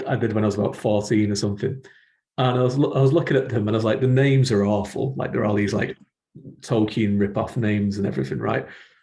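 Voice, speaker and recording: A somewhat breathy male voice, dark and mellow in tone, at a fairly quick pace. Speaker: podcast host and fantasy writer. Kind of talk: podcast interview. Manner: laid back.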